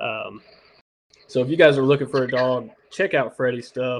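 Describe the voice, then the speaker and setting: A normal speaking voice at a moderate pace. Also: man. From Indiana, US Midwest. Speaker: podcast host. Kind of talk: casual chat.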